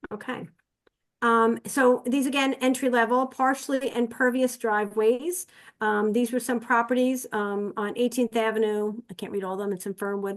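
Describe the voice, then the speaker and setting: Her pitch fairly high, a woman speaks at a moderate pace with fairly even intonation. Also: quiet background. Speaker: community presenter. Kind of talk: online presentation. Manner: hesitant, many fillers.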